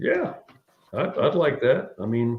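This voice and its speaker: A man's voice with vocal fry. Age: 60s. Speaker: air force veteran and UFO witness. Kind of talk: interview. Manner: halting.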